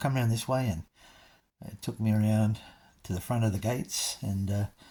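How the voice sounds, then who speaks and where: In a very clean recording with a silent background, a man with an Australian accent speaks at a fairly quick pace in a dark, mellow, somewhat breathy tone. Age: 60s. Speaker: vlogger. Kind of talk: casual chat. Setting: in a car. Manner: halting.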